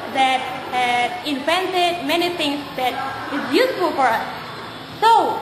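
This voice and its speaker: A woman speaks very slowly at an extremely high pitch. Noticeable background noise runs underneath. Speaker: presenter. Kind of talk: classroom presentation. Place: classroom. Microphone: camera far.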